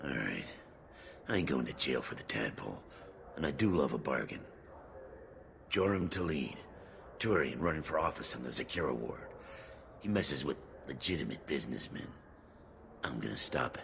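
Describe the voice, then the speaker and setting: Against clear background noise, a man puts on a character voice with a very deep, low pitch and lively intonation, moving at a moderate pace with long, frequent pauses. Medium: video game. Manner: blunt, streetwise.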